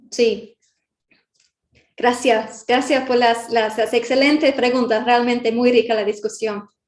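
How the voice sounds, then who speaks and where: A woman's high-pitched voice, monotone and flat, at a very slow pace with long, frequent pauses. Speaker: guest lecturer. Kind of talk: Q&A answer in public class. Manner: halting, many fillers.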